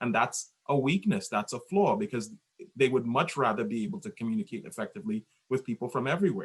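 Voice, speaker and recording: With a Caribbean accent, a man at a medium pitch swings his voice very widely up and down. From Trinidad. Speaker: podcast guest. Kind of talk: casual chat.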